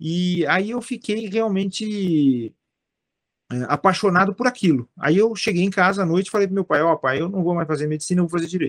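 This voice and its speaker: A man with a high pitch talks at a fairly quick pace in a dry, close sound with no echo. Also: ordinary pitch variation. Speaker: philosopher and judge. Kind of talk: interview conversation. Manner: repetitive fillers and false starts.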